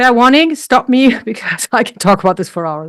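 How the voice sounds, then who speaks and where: In a very clean recording with a silent background, a woman with a German accent speaks at a fairly high pitch with lively intonation. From Germany. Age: 60s. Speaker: health coach and weightlifter. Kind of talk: interview.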